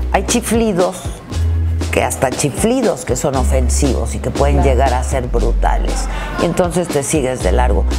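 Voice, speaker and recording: Clear music sits behind a woman who speaks at a fairly slow pace. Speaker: broadcaster and theatre performer. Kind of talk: interview answer. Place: hall.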